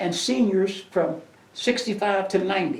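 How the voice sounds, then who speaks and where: Recorded with audible room echo, a man speaks at a high pitch with ordinary pitch variation. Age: 80s+. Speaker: community elder. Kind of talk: interview. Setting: museum. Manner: halting.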